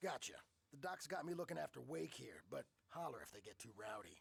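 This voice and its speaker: Putting on a raspy character voice, a man talks at a fairly quick pace and fairly high pitch. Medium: video game.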